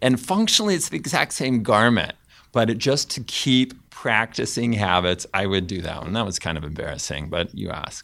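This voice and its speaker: In a very clean recording with a silent background, a man with an American accent talks at a moderate pace and medium pitch. His bright, sharp tone carries vocal fry and very wide pitch swings. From US West Coast (Fresno, California). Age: 50s. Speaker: behavior scientist and professor. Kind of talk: panel discussion. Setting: room in London.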